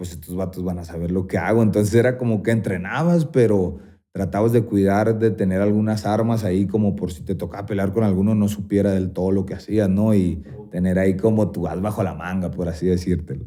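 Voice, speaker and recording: A man speaks in a dark, mellow tone at a fairly low pitch. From Sonora, Mexico. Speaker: mixed martial arts fighter. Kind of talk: podcast interview answer. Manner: casual, slangy.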